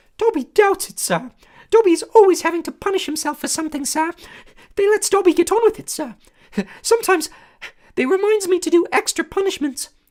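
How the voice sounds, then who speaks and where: Someone puts on a squeaky character voice at an extremely high pitch, talking at a fairly quick pace but with long, frequent pauses. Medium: read story. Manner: speaks of himself in third person, says sir.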